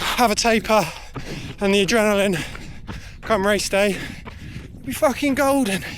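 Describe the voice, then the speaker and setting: A high-pitched man with a southern English accent, noticeable background noise behind him. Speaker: amateur runner vlogger. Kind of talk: casual vlog while running. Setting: outdoors on a run.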